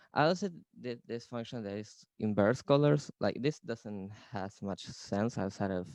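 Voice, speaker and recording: Over a quiet background, a man with a non-native accent and a dark, mellow tone talks at a moderate pace, the sound dry and close with no echo. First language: not English. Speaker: creative coder presenting. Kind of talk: presentation. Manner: hesitant, many fillers.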